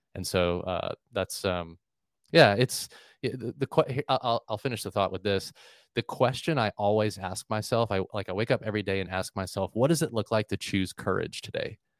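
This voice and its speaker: In an American accent, a man speaks at a fairly low pitch and moderate pace with ordinary pitch variation, in a dry, close sound with no echo. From Florida, US. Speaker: church staff leader and executive coach. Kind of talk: casual interview. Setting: remote call. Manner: halting, many fillers.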